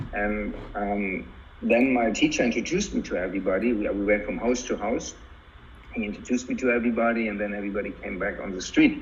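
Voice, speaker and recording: A man talks at a very fast pace. The room echoes audibly, and background noise is noticeable. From Germany. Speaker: tai chi master. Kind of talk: interview. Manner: hesitant, with fillers.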